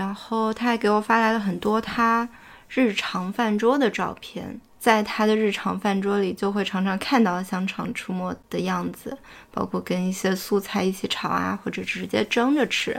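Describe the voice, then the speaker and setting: A woman's ordinary speaking voice at medium pitch, moderate pace and fairly even intonation, on a very clean recording with a silent background. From Fuzhou, China. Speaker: podcast host. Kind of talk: casual chat.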